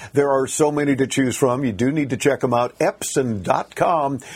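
A man's fairly high voice at a moderate pace, with ordinary pitch variation and an ordinary speaking voice. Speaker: radio host. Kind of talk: live radio tech talk show. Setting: studio.

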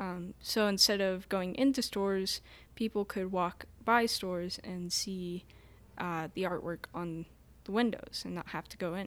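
A woman speaks with an American accent at a fairly slow pace, her pitch medium with ordinary variation and her loudness swinging widely. It is an unremarkable speaking voice on a very clean recording with a silent background. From Ashland, Montana. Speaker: shop worker and designer. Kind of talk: casual chat. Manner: giggly.

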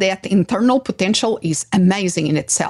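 In a Portuguese accent, a woman speaks somewhat breathily at a fairly slow pace with very wide pitch swings, in a dry, close sound with no echo. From Portugal. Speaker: psychologist and podcast host. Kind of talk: interview.

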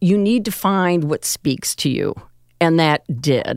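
A woman with a very deep, low pitch talks at a fairly slow pace with ordinary pitch variation. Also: dry, close sound with no echo. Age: 70s. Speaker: aerobics instructor. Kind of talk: casual interview chat.

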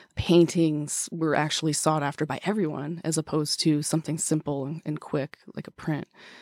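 A woman's very deep, low voice with an American accent, monotone and flat in intonation, on a very clean recording with a silent background. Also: moderate pace, dry, close sound with no echo. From US Midwest, Wisconsin. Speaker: antiques shop owner. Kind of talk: interview. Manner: calm.

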